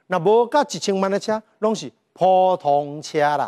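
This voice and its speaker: On a very clean recording with a silent background, a man speaks in a high pitch with an animated tone and ordinary pitch variation. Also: dry, close sound with no echo. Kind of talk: sermon-style Bible lecture, casual storytelling. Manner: animated, colloquial, humorous.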